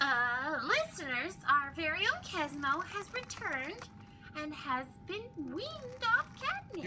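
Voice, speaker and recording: Amid loud background noise, a woman in a put-on character voice speaks at a fairly slow pace and a high pitch, with very wide pitch swings. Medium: audio drama. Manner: exasperated.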